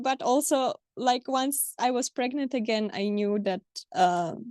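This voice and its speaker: Speaking at a very slow pace, a woman has a Polish accent and ordinary pitch variation. The background is quiet, and the sound is dry and close with no echo. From Poland. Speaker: mother sharing birth stories. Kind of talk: interview conversation. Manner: hesitant, many fillers.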